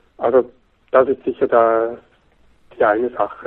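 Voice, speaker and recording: A man talking at a fairly slow pace. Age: 40s. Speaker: magazine editor-in-chief. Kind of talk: interview.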